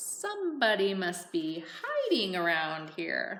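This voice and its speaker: A woman puts on a character voice, talking at a fairly slow pace and a medium pitch. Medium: read story.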